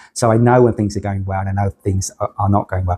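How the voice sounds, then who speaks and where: Over a silent background on a very clean recording, a man's dark, mellow, somewhat breathy voice shows ordinary pitch variation. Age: 60s. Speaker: cancer patient. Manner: halting, repeats words.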